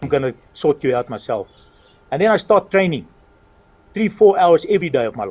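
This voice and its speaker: A man's vocal fry at a fairly quick pace, dry and close with no echo, quiet background. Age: 60s. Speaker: retired racing driver and town mayor. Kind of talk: interview.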